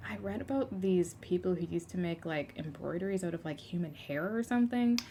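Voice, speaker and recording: Her voice sits fairly low and has a dark, mellow tone. The woman moves along at a fairly quick pace, with very wide pitch swings. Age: 20s. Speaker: podcast guest. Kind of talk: casual chat.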